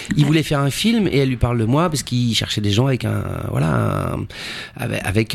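Noticeable background noise sits behind a man at a medium pitch. He talks at a fairly quick pace with lively intonation. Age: 40s. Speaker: actor. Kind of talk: casual chat.

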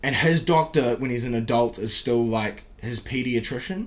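Music plays in the background as a man speaks with a New Zealand accent. His intonation is lively and his pace moderate. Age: 20s. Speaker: podcast host and comedian. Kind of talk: casual chat.

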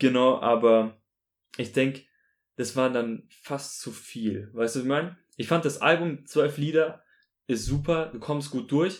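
His pitch varies in an ordinary way as a man talks at a fairly slow pace. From Munich, Bavaria, Germany. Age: 20s. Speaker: student podcast co-host. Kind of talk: casual music review chat. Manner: halting, repeats words.

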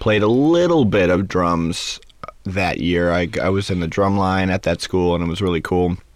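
The speaker keeps a moderate pace with very even loudness. Intonation stays fairly even. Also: man, very deep, low pitch for a man. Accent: American. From Los Angeles, California. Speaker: Broadway pit drummer. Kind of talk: interview. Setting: studio.

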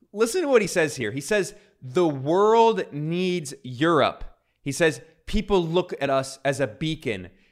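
A man speaks in a normal speaking voice with a fairly high pitch and lively intonation. The recording is very clean, with a silent background. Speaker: video commentator. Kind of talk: angry political rant, fast-paced critical commentary. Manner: sarcastic, accusatory.

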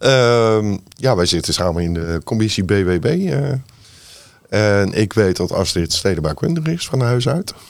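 A man at a fairly low pitch with very wide pitch swings, at a fairly slow pace. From Netherlands, Rotterdam. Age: 50s. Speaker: city councillor, navy veteran. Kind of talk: political discussion.

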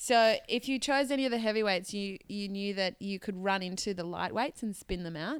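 With an ordinary speaking voice, a woman at medium pitch speaks at a moderate pace with ordinary pitch variation and hardly any pauses. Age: 20s. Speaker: podcast co-host. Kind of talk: casual chat.

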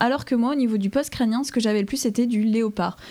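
A woman's fairly high-pitched, somewhat breathy voice, dark and mellow in tone, with fairly even intonation and a fairly quick pace. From France, Dijon (Burgundy). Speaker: paleontology student. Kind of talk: interview.

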